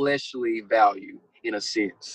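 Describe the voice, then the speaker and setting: With a Texan accent, a man speaks at a fairly high pitch in a bright, sharp tone, with ordinary pitch variation and a dry, close sound with no echo. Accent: Texan American. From Texas. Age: 20s. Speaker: guest sharing religious testimony. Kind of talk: testimony. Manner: halting, many fillers and repetitions.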